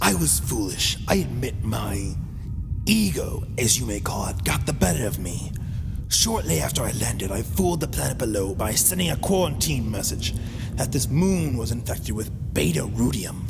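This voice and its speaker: At a moderate pace, a man speaks in a put-on character voice as loud noise fills the background. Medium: audio drama. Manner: grandiose, menacing.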